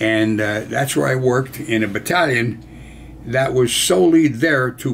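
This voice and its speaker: A man with an American accent speaks at a fairly slow pace in a medium pitch, with ordinary pitch variation and noticeable background noise. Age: 80s+. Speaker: war veteran. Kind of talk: storytelling.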